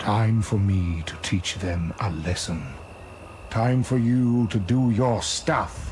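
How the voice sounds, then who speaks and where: Over clear background noise, a man does a cartoonish character voice at a very slow pace. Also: fairly low pitch for a man. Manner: commanding.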